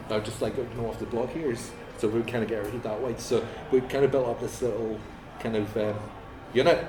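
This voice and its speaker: A man at a fairly quick pace with fairly even intonation and long, frequent pauses, audible room echo and music in the background. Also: medium pitch for a man. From Northern Ireland, Ballymena. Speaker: musician. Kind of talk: casual interview. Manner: halting.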